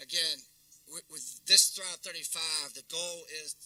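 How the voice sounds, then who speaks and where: The speaker talks at a very slow pace with a North Carolina accent. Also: man. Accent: US Southern, North Carolina. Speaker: keynote speaker, downtown development executive. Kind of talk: luncheon keynote talk. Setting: luncheon audience, also streamed.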